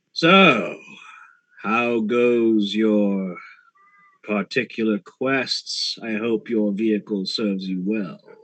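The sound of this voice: A man's raspy, put-on character voice at medium pitch, very slow in pace, with fairly even intonation.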